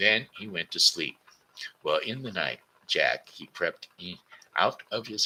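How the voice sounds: Natural reading voice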